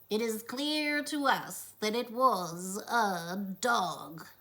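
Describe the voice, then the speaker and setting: A put-on character voice, female-sounding, fairly high-pitched and very slow. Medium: read story.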